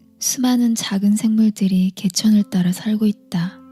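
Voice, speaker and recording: A woman's calm, soothing tone in a flat monotone at a fairly slow pace, dry and close with no echo, music in the background. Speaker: audiobook reader / book YouTuber. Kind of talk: ASMR book reading, bedtime. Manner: soft-spoken, calm, soothing.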